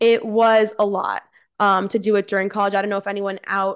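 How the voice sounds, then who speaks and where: A woman with an American accent speaks in a plain, everyday voice at a moderate pace over a quiet background. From Central New Jersey. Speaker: amateur bikini competitor and coach. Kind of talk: casual chat.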